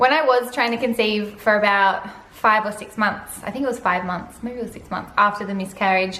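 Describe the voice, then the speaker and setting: A woman talks loudly and with an animated tone, her pitch fairly high and her pace fairly quick with hardly any pauses. Audible room echo and noticeable background noise fill the recording. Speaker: vlogger. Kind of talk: casual vlog monologue. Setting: home living room.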